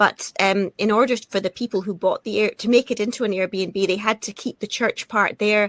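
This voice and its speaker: A woman speaks at a fairly quick pace with a Scottish accent. The recording is very clean, with a silent background and a dry, close sound with no echo. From Scotland. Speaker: actress. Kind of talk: interview. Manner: halting, with frequent repetitions.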